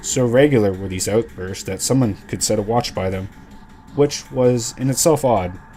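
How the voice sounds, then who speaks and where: A man's fairly low-pitched voice at a moderate pace, with ordinary pitch variation and music in the background. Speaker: narrator. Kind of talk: horror story narration.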